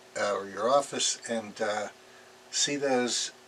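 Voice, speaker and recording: The speaker's intonation stays fairly even over noticeable background noise. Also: man. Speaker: artist and former product designer. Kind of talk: interview monologue. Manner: halting, many fillers.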